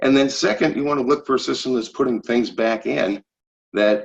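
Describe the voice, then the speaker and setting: The clip has an unremarkable speaking voice with ordinary pitch variation. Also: man. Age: 60s. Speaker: physiologist and wellness product distributor. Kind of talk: webinar presentation. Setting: webinar.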